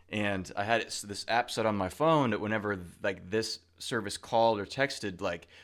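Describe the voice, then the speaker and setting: A man's fairly low voice shows ordinary pitch variation. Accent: American. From Washington State (Rochester). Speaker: IT pre-sales engineer, podcast co-host. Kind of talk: casual chat. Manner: hesitant, many fillers.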